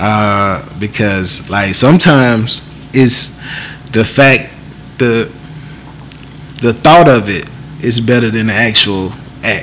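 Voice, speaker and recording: Over noticeable background noise, a man of medium pitch speaks very slowly, leaving long, frequent pauses. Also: ordinary pitch variation. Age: 30s. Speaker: podcast co-host. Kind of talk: casual chat.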